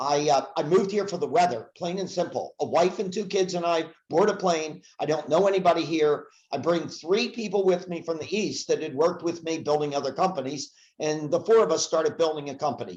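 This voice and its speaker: A man speaks with an American accent. His pitch is high and his pace fairly quick. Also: ordinary pitch variation. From US Northeast, Philadelphia area. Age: 70s. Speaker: sales speaker and trainer. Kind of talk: casual podcast interview.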